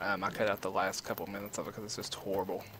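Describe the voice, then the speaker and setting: Over noticeable background noise, a man with a Kentucky accent talks at a very fast pace. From eastern Kentucky, US. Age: 20s. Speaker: gamer. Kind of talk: gameplay commentary. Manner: casual, with many fillers.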